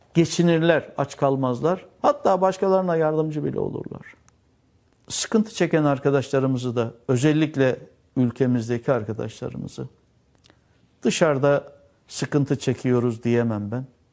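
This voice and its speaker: On a very clean recording with a silent background, a man with an unremarkable speaking voice, fairly high in pitch, talks at a moderate pace with ordinary pitch variation. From Turkey, Antalya. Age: 60s. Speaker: exiled former school administrator, now cook. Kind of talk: interview testimony.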